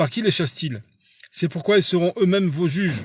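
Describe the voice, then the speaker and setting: Ordinary pitch variation in a man's high voice. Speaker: preacher. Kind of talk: bible study teaching. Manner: halting.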